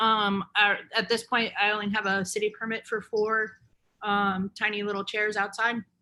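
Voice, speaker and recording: A woman's bright, sharp, fairly high voice with an American accent, monotone, flat intonation, and a moderate pace on a very clean recording with a silent background. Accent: Southern, faint unless drinking. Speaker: chef and cookbook author. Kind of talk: conversational interview.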